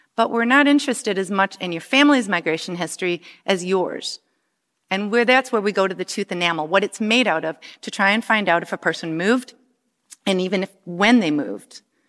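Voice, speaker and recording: A woman with a plain, everyday voice at a fairly quick pace, ordinary pitch variation, and a very clean, dry, close recording with a silent background and no echo. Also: medium pitch for a woman. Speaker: bioarchaeologist. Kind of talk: talk.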